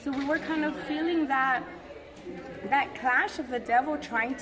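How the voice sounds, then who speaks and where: Crowd noise fills the background. A woman speaks at a moderate pace. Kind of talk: casual vlog chat. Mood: animated, expressive storytelling. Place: church. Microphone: phone near.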